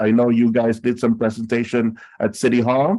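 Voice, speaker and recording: At a fairly slow pace, a man speaks in a medium pitch with a dark, mellow tone. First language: not English. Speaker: city council member chairing a task force. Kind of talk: public meeting chairing. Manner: halting.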